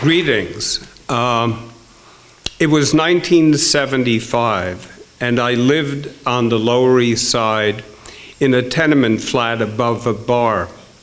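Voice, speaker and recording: Very slowly and with very even loudness, a man speaks at a medium pitch with ordinary pitch variation, amid audible room echo and noticeable background noise. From Netherlands. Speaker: author and storyteller. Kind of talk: storytelling. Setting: stage with audience.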